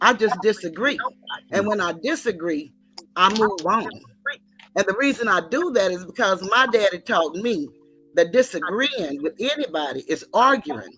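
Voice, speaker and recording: Over music in the background, a woman with an American accent speaks at a medium pitch and a moderate pace, her pitch swinging very widely. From Texas, Dallas. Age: 60s. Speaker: caller. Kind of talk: casual chat.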